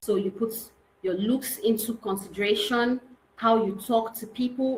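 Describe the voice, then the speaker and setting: A woman's fairly high voice with ordinary pitch variation, a plain, everyday voice. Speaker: real estate consultant and trainer. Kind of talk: online training lecture.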